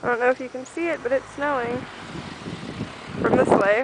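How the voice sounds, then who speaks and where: High-pitched speech from a woman, with noticeable background noise. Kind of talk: casual talk to camera.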